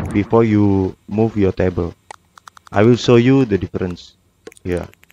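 With a non-native accent, a man speaks at a fairly slow pace in a dark, mellow tone of fairly low pitch, with fairly even intonation and a dry, close sound with no echo. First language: non-native English speaker. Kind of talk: video game tutorial narration.

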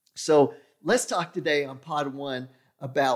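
A man over a quiet background. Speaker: podcast host. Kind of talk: podcast monologue. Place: studio. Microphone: studio mic.

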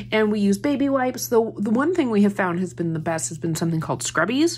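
Very wide pitch swings in a somewhat breathy voice. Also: woman. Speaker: haul vlogger. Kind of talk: casual haul chat. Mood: cheerful, amused. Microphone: phone near.

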